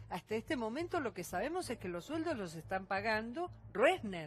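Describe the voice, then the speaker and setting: With very wide pitch swings, a woman speaks at a fairly high pitch and a moderate pace. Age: 60s. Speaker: media company employee. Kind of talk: televised panel debate.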